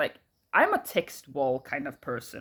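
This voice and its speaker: The speaker has a strong Swedish accent and talks at a fairly slow pace. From Sweden. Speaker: YouTuber. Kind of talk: casual rant to camera. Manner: halting, many fillers.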